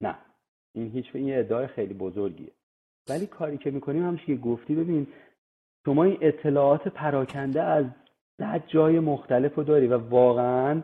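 A man talks at a moderate pace, leaving long, frequent pauses. His pitch is fairly high, with ordinary variation. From Iran. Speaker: construction engineer. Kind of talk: interview.

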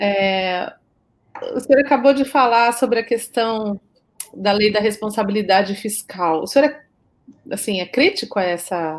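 Her voice is fairly high, with ordinary pitch variation, and she is a woman speaking at a fairly slow pace. She leaves long, frequent pauses. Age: 40s. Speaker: panel debater. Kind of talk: panel discussion. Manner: animated.

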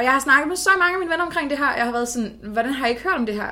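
Bright and sharp in tone, a woman's voice carries through. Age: 20s. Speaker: political science student. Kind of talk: casual chat. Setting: in a flat, recording in person.

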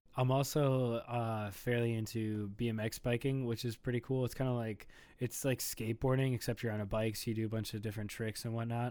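Very fast and flat in a monotone, a man speaks with an Upper Midwest accent. His medium-pitched voice has a dark, mellow tone. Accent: Upper Midwest American. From US Midwest, Minnesota. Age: 20s. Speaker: lifestyle brand founder. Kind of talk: casual chat. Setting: home recording.

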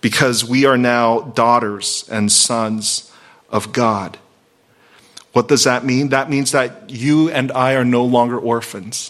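A man with an American accent talks at a very slow pace and a medium pitch. His intonation is fairly even, with music in the background. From Virginia. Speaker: pastor. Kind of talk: sermon.

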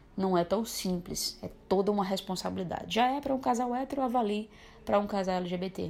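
At a very fast pace, a woman speaks at medium pitch with ordinary pitch variation. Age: 20s. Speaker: interviewee sharing LGBTQIA+ experience. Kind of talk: personal testimony.

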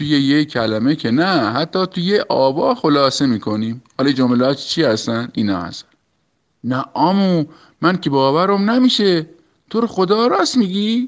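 With a Shirazi accent, a man talks at a moderate pace, his fairly high pitch making very wide swings. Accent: Shirazi Persian. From Iran, Shiraz. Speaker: local interviewee. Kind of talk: recorded voice message answers. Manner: playful.

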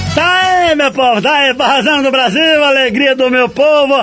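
Over noticeable background noise, a man uses a raised, projected voice at an extremely high pitch. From Paraíba, Brazil. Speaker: radio host. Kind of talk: radio show presenting. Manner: animated.

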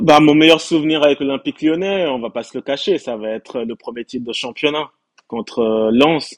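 A man with a plain, everyday voice, fairly high in pitch, at a moderate pace with ordinary pitch variation and big swings in loudness, recorded dry and close with no echo against a quiet background. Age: 30s. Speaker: football fan. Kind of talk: casual chat.

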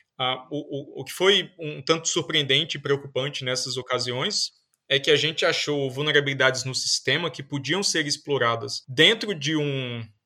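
A man with a fairly high pitch and a bright, sharp tone talks with hardly any pauses, his loudness swinging widely while his pitch varies in an ordinary way. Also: moderate pace. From Northeast Brazil, Paraíba. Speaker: computer science professor. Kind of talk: interview.

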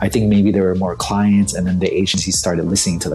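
Over noticeable background noise, a man with an American accent speaks at a fairly low pitch. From United States, Vietnamese American family. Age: 40s. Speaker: creative director and DJ. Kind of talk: casual chat.

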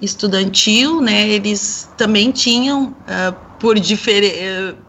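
A woman talks at a very slow pace while noticeable background noise fills the recording. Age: 40s. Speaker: sociologist and singer. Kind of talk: radio panel discussion.

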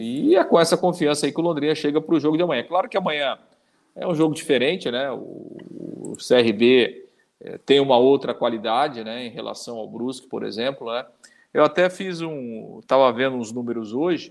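A man with an unremarkable speaking voice and a fairly high pitch talks at a moderate pace, showing ordinary pitch variation and big swings in loudness. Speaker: sports podcast co-host. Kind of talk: casual sports chat.

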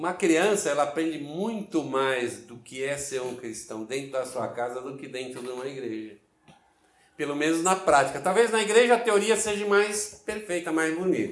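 A man talks at a moderate pace with a fairly high pitch. His pitch swings very widely and his loudness swings a lot. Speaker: pastor. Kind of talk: sermon.

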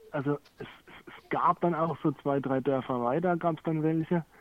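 A man speaks at a moderate pace with fairly high pitch in an ordinary speaking voice. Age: 30s. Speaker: guest recovering from cannabis addiction. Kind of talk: casual conversation. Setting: remote call.

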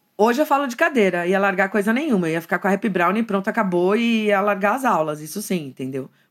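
On a very clean recording with a silent background, a woman uses a normal speaking voice at a medium pitch with lively intonation. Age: 50s. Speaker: art teacher. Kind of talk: casual chat.

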